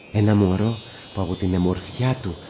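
A man at a very deep, low pitch and a fairly slow pace, with music in the background. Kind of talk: fairy-tale narration in Asia Minor Greek dialect, storyteller's retelling.

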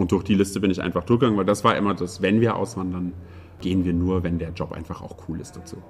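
A man's very deep, low voice delivers each line in a flat monotone. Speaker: IT professional, emigrant to Sweden. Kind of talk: interview. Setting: room in Stockholm.

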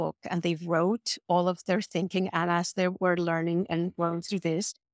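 A woman speaks at a moderate pace with a Spanish accent and a fairly low pitch. The recording is very clean and dry, close-miked with no echo and a silent background. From Mexico City, Mexico. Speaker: design professor. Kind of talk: panel interview.

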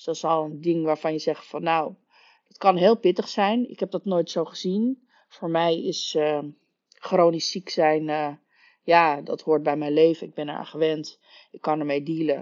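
A woman with an ordinary speaking voice, a fairly low pitch and ordinary pitch variation, at a fairly slow pace with big swings in loudness. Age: 40s. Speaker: podcast host, story coach. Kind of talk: solo podcast monologue.

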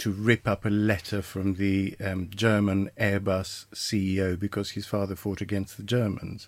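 A man with a plain, everyday voice, fairly low in pitch, at a moderate pace, in a very clean recording with a silent background. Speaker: podcast co-host. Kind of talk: casual political discussion. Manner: informal, sweary.

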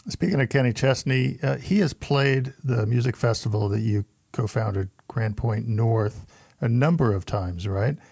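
Somewhat breathy speech at a moderate pace, lively in intonation and very even in loudness. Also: man, medium pitch for a man, very clean recording, silent background. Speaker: podcast co-host, music journalist. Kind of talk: casual interview chat.

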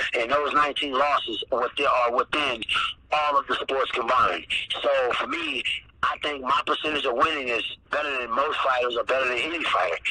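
Noticeable background noise accompanies the clip. A man speaks over it at a fairly quick pace. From US Midwest. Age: 30s. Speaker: mixed martial arts fighter. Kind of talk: casual interview.

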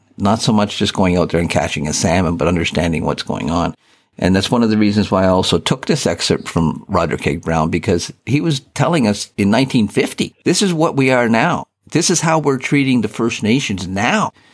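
Fairly quick, very evenly loud speech from a man with a fairly low pitch, very wide pitch swings, and a Canadian accent. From Eastern Ontario, Canada. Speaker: retired newspaper editor and fly fisher. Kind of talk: interview.

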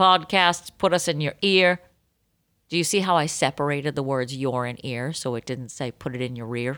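A woman talks in a Boston accent with very wide pitch swings. The recording is very clean, with a silent background. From Boston area. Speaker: podcast co-host. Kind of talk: casual chat. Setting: home recording room.

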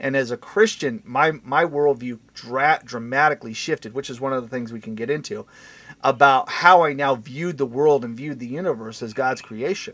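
A man has a plain, everyday voice at a medium pitch, speaking at a moderate pace with ordinary pitch variation and big swings in loudness. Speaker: podcast host. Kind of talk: casual chat. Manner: self-deprecating, jokey.

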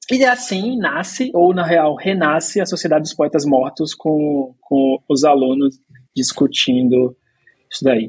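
The pace is very slow. The intonation is lively. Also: man. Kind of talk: casual chat.

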